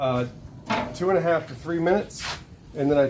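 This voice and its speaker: With an American accent, a man speaks quickly-ish in a fairly high voice and a playful tone. His intonation stays fairly even over noticeable background noise. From Charleston, South Carolina, US South. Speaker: vlogger's husband, home cook. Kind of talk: casual chat. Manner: playful, joking.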